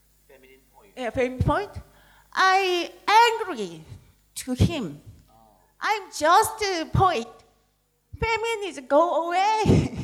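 A woman with a Korean accent speaks very slowly at an extremely high pitch, with long, frequent pauses. Her pitch swings very widely and her loudness shifts a lot. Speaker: poet. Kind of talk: panel discussion. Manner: halting.

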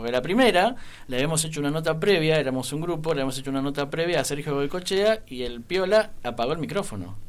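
Fairly high pitch and lively intonation mark this man's voice. He talks at a very fast pace. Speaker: radio panelist. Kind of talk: casual chat.

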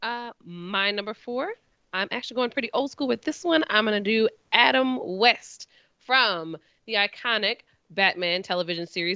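A woman has a normal speaking voice at medium pitch. Her pace is moderate and her pitch varies in an ordinary way. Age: young. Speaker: podcast co-host. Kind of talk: casual chat.

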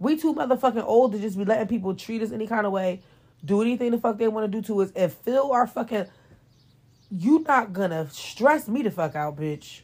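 A woman speaks fairly quickly in a fairly high voice. Her tone is animated, with lively intonation. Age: 30s. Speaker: podcast host. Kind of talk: casual monologue.

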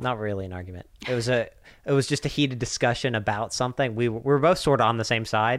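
Speaking at a very fast pace, a man with an American accent has a medium pitch and ordinary pitch variation in a very clean recording with a silent background. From US South (Swainsboro, Georgia). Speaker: podcast host. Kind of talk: casual chat.

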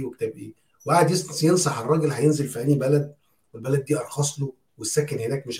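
Speaking very fast with fairly even intonation, a man uses a fairly high, somewhat breathy voice with a dark, mellow tone and big swings in loudness. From Egypt. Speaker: podcast co-host. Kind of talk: casual chat.

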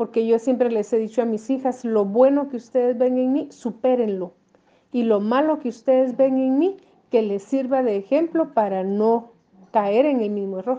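A woman with a high-pitched voice speaks at a moderate pace, using ordinary pitch variation. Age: 50s. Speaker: mother interviewee. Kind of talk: interview testimony.

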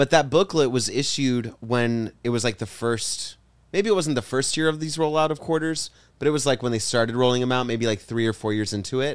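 A man talks in a normal speaking voice, pitched medium. His speed is fairly quick, and his pitch varies in an ordinary way. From Texas, Cuban-American family. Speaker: podcast co-host, comedian. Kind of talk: casual chat.

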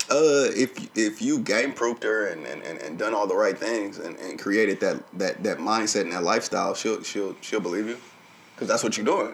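In a Southern US accent, a man talks at a moderate pace. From Arkansas. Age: 30s. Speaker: podcast co-host. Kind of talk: casual chat. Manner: animated.

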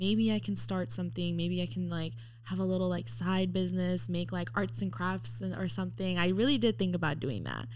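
A woman with an American accent speaks at a fairly quick pace with hardly any pauses, and audible room echo surrounds her. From Mexico City-born, raised in the US from age four. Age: 20s. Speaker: eyelash technician. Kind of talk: casual chat.

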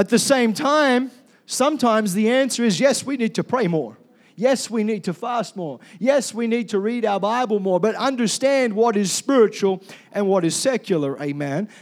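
A man talks loudly in a high voice at a moderate pace. His intonation is lively. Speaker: pastor. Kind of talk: sermon. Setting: church.

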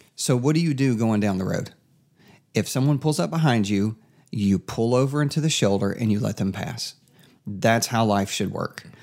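The speaker is a man with an Appalachian Tennessee accent. The recording is very clean, with a silent background. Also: medium pitch for a man, ordinary pitch variation, moderate pace. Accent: Southern US (Appalachian Tennessee). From East Tennessee. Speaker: podcast host. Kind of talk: casual chat.

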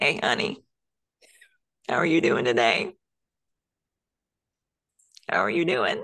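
A raspy, put-on character voice at a middle pitch moves at a fairly slow pace with long, frequent pauses.

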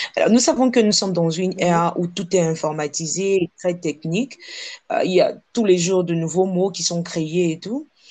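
A woman with a West African accent, medium pitch, ordinary pitch variation and a moderate pace. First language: Ewe (speaking French). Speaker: podcast host. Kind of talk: interview.

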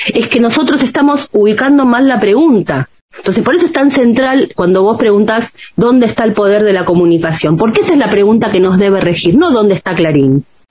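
Over noticeable background noise, a woman talks at a fairly quick pace with a fairly high pitch, very wide pitch swings and very even loudness. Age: 50s. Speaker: journalist and author. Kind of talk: interview.

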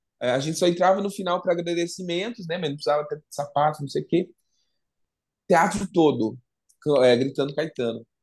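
Against a quiet background, a man with a high pitch speaks at a fairly quick pace, using ordinary pitch variation and long, frequent pauses. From interior of São Paulo state (Assis). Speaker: singer and model. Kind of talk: casual interview.

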